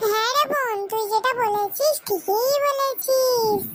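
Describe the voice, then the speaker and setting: Over light background noise, a woman uses a cartoonish character voice, squeaky and extremely high in pitch, at a fairly slow pace. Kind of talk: comic cartoon voice. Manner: playful, bantering.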